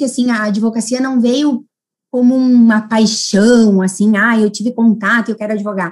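A woman speaks with a Rio Grande do Sul accent. Her pace is fairly slow. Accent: countryside Rio Grande do Sul (gaúcho). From Rio Grande do Sul interior (Casca, near Passo Fundo). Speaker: lawyer. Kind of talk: interview.

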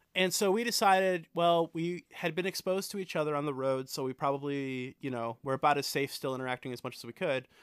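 A man talks at a very fast pace with hardly any pauses and ordinary pitch variation. The sound is dry and close, with no echo. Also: fairly high pitch for a man. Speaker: musician. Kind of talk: casual chat. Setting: video call. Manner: animated, high energy; loud.

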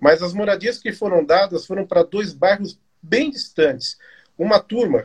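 A man with a high pitch talks at a moderate pace, the sound dry and close with no echo. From São Paulo, Brazil (eastern periphery). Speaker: live show host, history institute. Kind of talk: interview. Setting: online live stream.

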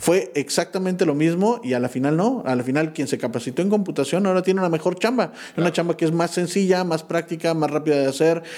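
Against noticeable background noise, a man with a fairly high pitch and ordinary pitch variation talks at a very fast pace with hardly any pauses. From Pachuca, Mexico. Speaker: entrepreneur, community member. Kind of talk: casual chat. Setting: office studio.

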